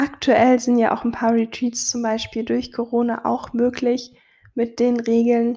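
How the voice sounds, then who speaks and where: Speaking at a fairly slow pace, a woman has a high pitch and a dark, mellow tone. Her intonation is monotone and flat. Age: 20s. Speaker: podcast host, photographer and business coach. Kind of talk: solo podcast monologue on self-care.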